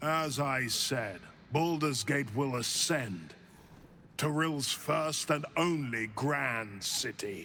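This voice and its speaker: A man's put-on character voice, medium in pitch, very slow, very even in loudness, over clear background noise. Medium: video game. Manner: grandiose, sermonizing.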